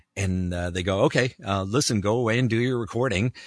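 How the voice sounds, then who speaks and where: A man with a Canadian accent speaks at a fairly quick pace in an animated tone, with ordinary pitch variation, in a dry, close sound with no echo against a quiet background. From Canada. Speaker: voiceover actor. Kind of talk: casual interview chat.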